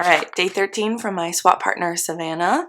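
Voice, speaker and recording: An upbeat tone comes through in an American accent at a moderate pace. Noticeable background noise sits behind the voice. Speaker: knitting vlogger and podcaster. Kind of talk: casual vlog talk to camera. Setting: guest room at home. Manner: chatty and upbeat.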